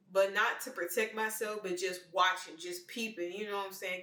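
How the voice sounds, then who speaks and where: A bright, sharp tone at a moderate pace, in a Memphis accent. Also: woman. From Memphis, Tennessee, US South. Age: 20s. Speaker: vlogger. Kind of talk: personal monologue.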